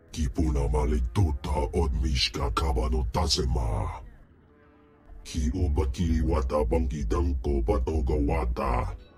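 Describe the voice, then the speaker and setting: Over clear background music, a man does a put-on character voice with a very deep, low pitch at a moderate pace. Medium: video game. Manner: imperious, speaks alien language.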